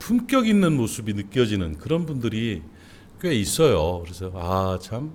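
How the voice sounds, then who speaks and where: A man's medium-pitched speech carries an audible echo from the room. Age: 60s. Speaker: pastor. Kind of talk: sermon. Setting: church. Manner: conversational, with fillers.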